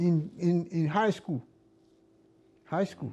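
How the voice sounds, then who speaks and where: A man's high-pitched voice with a Ghanaian accent, dark and mellow in tone, at a very slow pace. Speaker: former accountant. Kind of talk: interview answer.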